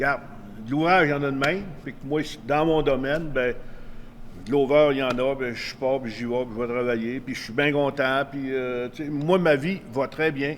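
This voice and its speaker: A man with a fairly high pitch talks at a moderate pace with fairly even intonation. His loudness swings widely, and there is noticeable background noise. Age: 70s. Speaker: retired pro wrestler. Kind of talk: interview. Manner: casual, hesitant with fillers.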